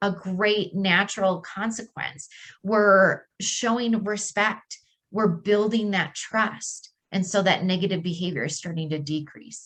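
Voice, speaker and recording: A woman's medium-pitched voice at a fairly slow pace. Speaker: speech-language pathologist. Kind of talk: presentation. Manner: loud; animated.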